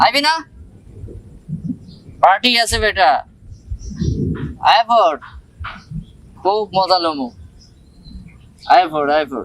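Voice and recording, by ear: The put-on character voice has lively intonation. It moves at a slow pace, broken by long, frequent pauses. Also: man, high pitch for a man, fairly bright tone.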